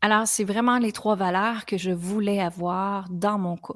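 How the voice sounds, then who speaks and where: In a Quebec accent, a woman with a medium pitch speaks at a moderate pace in a flat monotone, recorded very cleanly against a silent background with a dry, close sound and no echo. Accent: Québécois French. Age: 40s. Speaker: podcast host, women's coach. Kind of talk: personal testimony on a podcast.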